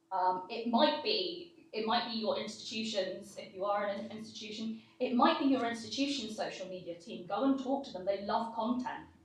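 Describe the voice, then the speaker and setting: There is audible room echo and noticeable background noise as a woman with a fairly high pitch talks with hardly any pauses. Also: ordinary pitch variation, moderate pace. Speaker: conference speaker. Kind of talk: Q&A panel discussion. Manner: loud.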